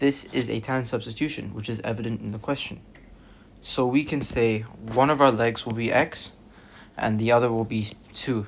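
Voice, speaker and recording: This is an unremarkable speaking voice from a man at medium pitch. He keeps a moderate pace and fairly even intonation. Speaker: maths tutor. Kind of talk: tutorial.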